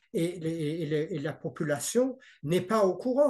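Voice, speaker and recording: A man with a high pitch and lively intonation speaks at a very slow pace. The background is quiet. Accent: slight non-native. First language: not French (speaking French). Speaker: parent in dispute with child welfare services. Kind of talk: interview. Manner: halting, many hesitations and repetitions.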